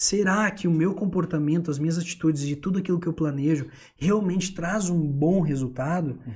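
This man has a high voice and ordinary pitch variation. He talks at a moderate pace. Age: 20s. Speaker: theatre teacher and entrepreneur. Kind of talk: casual chat.

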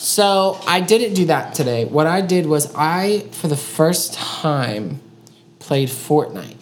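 A woman's very slow, lively-toned speech, with noticeable background noise and audible room echo. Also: fairly low pitch for a woman. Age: 20s. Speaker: podcast co-host. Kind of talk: casual chat.

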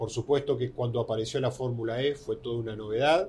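Somewhat breathy, a man's dark, mellow tone moves with ordinary pitch variation. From Argentina. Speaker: motorsport journalist. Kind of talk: interview.

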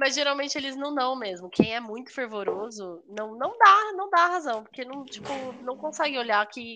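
A woman projects her high, raised voice at a moderate pace, with very wide pitch swings and big swings in loudness over noticeable background noise. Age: 30s. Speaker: podcast co-host. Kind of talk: casual chat.

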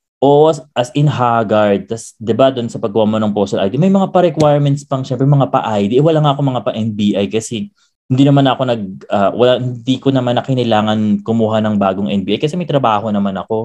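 A man speaks at medium pitch with a dark, mellow tone. His pace is fairly quick, with ordinary pitch variation. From Philippines, Quezon City. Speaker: podcast host and pageant titleholder. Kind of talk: casual chat.

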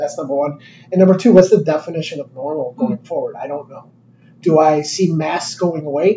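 Speaking in a normal speaking voice with an American accent, a man talks at a fairly quick pace and fairly high pitch, with ordinary pitch variation and big swings in loudness. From Chicago. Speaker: company executive. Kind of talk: casual interview.

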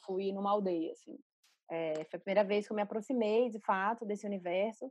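Her pitch is medium and varies in an ordinary way as the woman talks at a moderate pace. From Recife, northeastern Brazil. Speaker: art curator and critic. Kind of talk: interview. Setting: video call.

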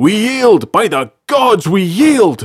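In a put-on character voice with big pitch swings, a man speaks slowly at a high pitch with a slightly husky edge, on a very clean recording with a silent background.

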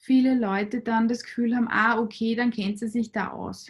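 A woman's high-pitched voice at a moderate pace, with monotone, flat intonation. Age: 40s. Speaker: clinical psychologist. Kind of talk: interview.

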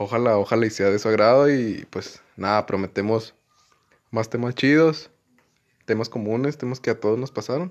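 A man with a northern Mexican accent speaks at a moderate pace and medium pitch, with ordinary pitch variation. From Mexico, Comarca Lagunera (Durango/Coahuila). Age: 20s. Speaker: law student, podcast co-host. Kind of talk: casual chat. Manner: halting.

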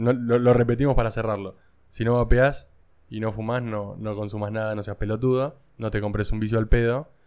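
A man of medium pitch speaks at a fairly quick pace in a monotone, flat intonation. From Argentina, rural. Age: 30s. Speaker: podcast host. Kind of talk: casual chat. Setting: in a vape shop.

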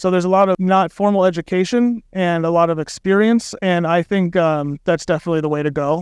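A man with an American accent talks at a high pitch with fairly even intonation and hardly any pauses. The sound is dry and close, without echo. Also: fairly quick pace, very even loudness. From US Midwest, Missouri (St. Joseph). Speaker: brewer. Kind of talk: casual interview. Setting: live at a festival.

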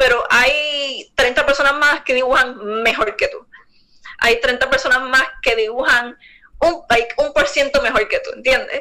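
At a fairly slow pace, a woman projects a raised, high voice with a bright, sharp tone. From Puerto Rico. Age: 20s. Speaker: visual artist. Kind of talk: interview.

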